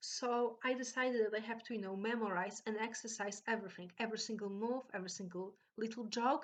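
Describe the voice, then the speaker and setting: This woman talks at a fairly quick pace with a Polish accent. Her pitch is fairly high. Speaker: vlogger. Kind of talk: storytelling. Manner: halting.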